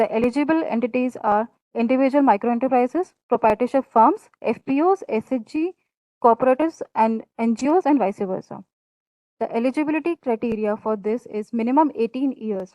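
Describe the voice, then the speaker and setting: A woman speaks in a high pitch at a fairly quick pace. Her tone is dark and mellow. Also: ordinary pitch variation, dry, close sound with no echo. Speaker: scheme presenter at training session. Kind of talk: presentation on government scheme. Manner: halting.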